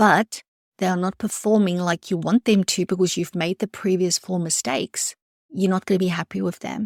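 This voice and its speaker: A woman with a non-native accent speaks at a moderate pace. Her intonation is fairly even, and the recording is very clean with a silent background. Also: medium pitch for a woman, dry, close sound with no echo. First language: not English. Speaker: podcast host, private practice business coach. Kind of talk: solo podcast monologue. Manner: conversational, direct address.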